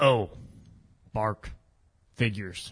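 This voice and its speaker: A man uses a put-on character voice with a fairly low pitch. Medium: audio drama. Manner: peppers speech with "bark", laughs a lot.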